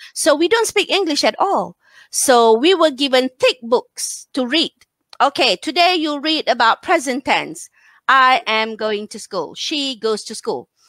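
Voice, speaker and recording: A bright, sharp tone with very wide pitch swings at a fairly slow pace, dry and close with no echo, on a very clean recording with a silent background. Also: woman, high pitch for a woman. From northern Malaysia, near Thailand border. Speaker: English teacher and teacher trainer. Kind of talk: casual interview.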